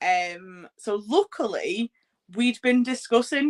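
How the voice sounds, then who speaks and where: A woman speaks in an English accent, the sound dry and close with no echo. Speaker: podcast host and wrestling ring announcer. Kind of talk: interview. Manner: loud; casual, filler-heavy.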